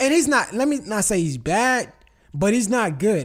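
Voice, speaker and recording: Very wide pitch swings at a moderate pace. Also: man. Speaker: movie review podcast host. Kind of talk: casual chat. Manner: calm.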